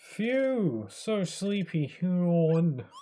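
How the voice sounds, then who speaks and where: A put-on character voice at a middle pitch. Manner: sleepy, yawning.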